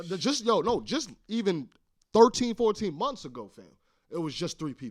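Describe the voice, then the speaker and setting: On a very clean recording with a silent background, a man with a high pitch talks at a moderate pace, his pitch swinging very widely and his loudness shifting a lot. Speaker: podcast co-host and studio founder. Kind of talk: casual chat. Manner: animated.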